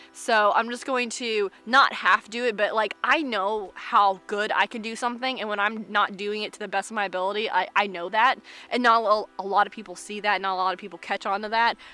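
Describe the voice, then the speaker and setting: A fairly high-pitched woman with an American accent, fairly quick pace and big swings in loudness, over noticeable background noise. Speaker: vlogger. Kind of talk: casual vlog monologue. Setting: outdoors in the woods.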